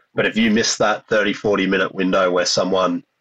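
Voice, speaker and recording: This man has an Australian accent. The recording sounds dry and close, without any echo. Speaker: podcast host. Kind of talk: interview.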